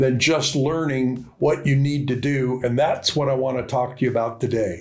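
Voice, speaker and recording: With music in the background, a man talks at a fairly high pitch. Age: 80s+. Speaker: business mentor. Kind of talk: casual talk to camera.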